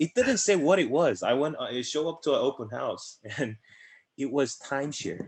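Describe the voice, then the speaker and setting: A man speaks with a Korean accent. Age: 20s. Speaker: insurance agency director. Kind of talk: interview. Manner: fast.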